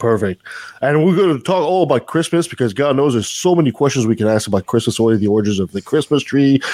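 The speaker talks at a very fast pace with a French Canadian accent and lively intonation. The tone is dark and mellow, the loudness very even, and the sound dry and close with no echo. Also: man, medium pitch for a man. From Canada, French Canadian. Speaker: podcast host. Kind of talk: casual chat.

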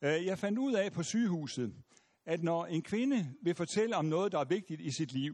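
A man with a high voice speaks at a moderate pace, his intonation lively. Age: 70s. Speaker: pastor and lecturer. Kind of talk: lecture; audience Q&A. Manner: halting, many fillers.

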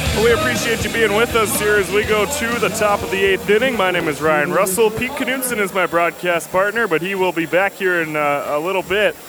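Over music in the background, a man with a high voice talks in a raised, projected way at a fairly quick pace, with ordinary pitch variation and hardly any pauses. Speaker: color commentator. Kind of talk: live commentary.

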